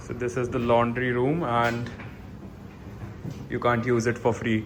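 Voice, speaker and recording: A man with an Indian accent speaks at a fairly slow pace and medium pitch, his intonation monotone and flat, with audible room echo. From India, Delhi. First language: Hindi. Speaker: student vlogger. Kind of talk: vlog tour. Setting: outdoors. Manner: casual.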